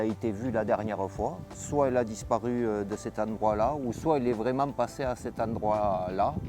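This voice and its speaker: Over music in the background, a man with a fairly low pitch and fairly even intonation speaks at a moderate pace with hardly any pauses. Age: 50s. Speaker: volunteer firefighter and dog handler. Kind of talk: interview testimony and on-site explanation. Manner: hesitant, frequent filler euh.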